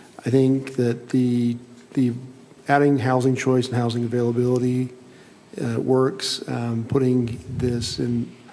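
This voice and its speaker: A man with an American accent talks at a fairly slow pace and a medium pitch in monotone, flat intonation, with noticeable background noise and audible room echo. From Utah, Salt Lake City area. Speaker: planning commissioner. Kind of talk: public meeting deliberation.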